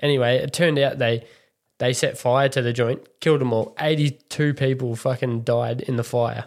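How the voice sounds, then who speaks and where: A man with a strong Australian accent, medium pitch, fairly even intonation and a moderate pace, on a very clean recording with a silent background. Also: very even loudness. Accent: broad Australian. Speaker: podcast co-host. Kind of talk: casual chat.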